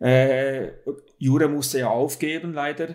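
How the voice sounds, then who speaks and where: A man's voice at medium pitch. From Switzerland. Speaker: ultra-distance cyclist. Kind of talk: interview. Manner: hesitant with filler sounds.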